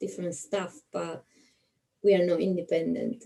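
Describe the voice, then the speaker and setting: A woman is speaking. She has an Italian accent. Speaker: nurse. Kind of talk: interviewer, casual video chat.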